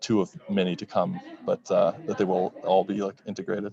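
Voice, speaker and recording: A man with an American accent, at a moderate pace. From Texas, Dallas area. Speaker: bitcoin entrepreneur. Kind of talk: conference interview. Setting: conference floor. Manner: halting.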